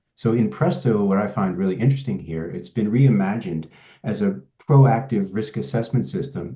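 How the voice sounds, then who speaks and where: Using vocal fry and a dark, mellow tone, a man speaks at a fairly quick pace with very wide pitch swings. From Sweden. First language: Swedish. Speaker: pharmaceutical quality consultant. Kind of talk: presentation introducing a software demo. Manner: hesitant, with many fillers and repeated words.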